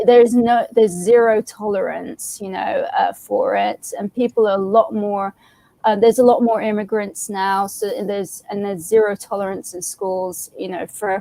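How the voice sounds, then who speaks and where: A woman with an English accent speaks at a moderate pace and medium pitch, with fairly even intonation. Her loudness swings widely in a dry, close sound with no echo. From England. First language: Arabic. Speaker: comics creator. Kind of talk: casual chat. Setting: live stream.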